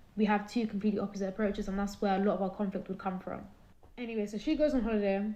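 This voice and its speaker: A woman with a British accent speaks in a dark, mellow tone with monotone, flat intonation. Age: 20s. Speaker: caller sharing personal story. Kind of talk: testimony.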